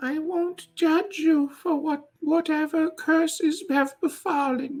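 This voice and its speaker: A put-on character voice with a high pitch. It is soft-spoken and moves at a fairly slow pace. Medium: actual play. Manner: doting, sweetly overfriendly.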